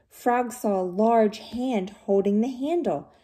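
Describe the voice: The delivery is plain reading aloud with ordinary pitch variation.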